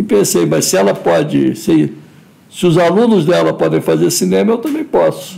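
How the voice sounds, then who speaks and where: A man speaks at a moderate pace. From Brazil, Rio de Janeiro. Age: 60s. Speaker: filmmaker. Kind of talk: interview. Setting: live stream.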